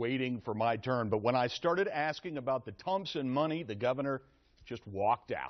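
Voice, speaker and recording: A man talks at a fairly quick pace and a medium pitch. He has a plain, everyday voice. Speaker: TV news reporter. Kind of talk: live news report.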